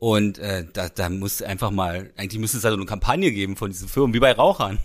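The recording is very clean, with a silent background. A man with an unremarkable speaking voice talks at a fairly low pitch and with fairly even intonation. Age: 40s. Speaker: podcast co-host. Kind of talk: casual chat.

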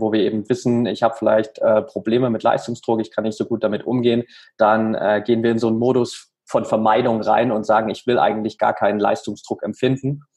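The intonation is monotone and flat. A man delivers his words fairly quickly. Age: 30s. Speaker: mental coach for athletes. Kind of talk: interview.

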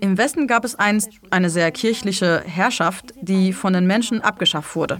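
There is noticeable background noise as a woman speaks. Her pace is moderate and her pitch variation is ordinary. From Germany (born in Iran, moved at ten). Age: young. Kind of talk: live interpreting of an interview.

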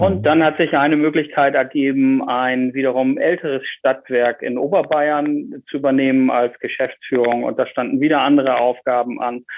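A man at a fairly high pitch and moderate pace, with fairly even intonation and hardly any pauses. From northern Germany, Bremen. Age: 40s. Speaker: energy industry executive. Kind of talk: interview.

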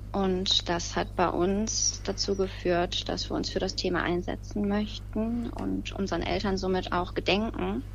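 Fairly slow speech from a woman, audible room echo around it. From Lower Rhine, Germany. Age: 30s. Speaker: bereaved relative, petition starter. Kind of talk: interview.

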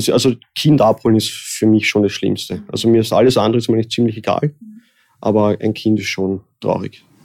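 A man with a medium pitch keeps a fairly quick pace, his intonation fairly even. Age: 30s. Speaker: undertaker and embalmer. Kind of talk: interview. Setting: in person, office building. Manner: halting.

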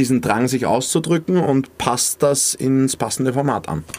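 A man at medium pitch with a normal speaking voice. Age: 20s. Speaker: influencer and radio presenter. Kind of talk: casual chat.

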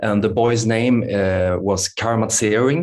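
A man speaks with a Swedish accent at a medium pitch, with ordinary pitch variation. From Sweden. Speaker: yoga teacher and meditation author. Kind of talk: interview conversation. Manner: halting.

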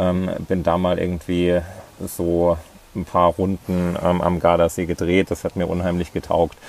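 Very deep, low male voice, flat and monotone, fairly slow in pace. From Thuringia, Germany (near Ilmenau). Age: 30s. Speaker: ultra-distance cyclist. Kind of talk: interview. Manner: hesitant, many fillers.

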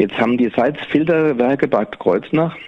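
At a moderate pace, a man talks through noticeable background noise. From Rheingau, Germany. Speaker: winemaker. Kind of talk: casual interview. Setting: on location at his winery. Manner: halting, many fillers.

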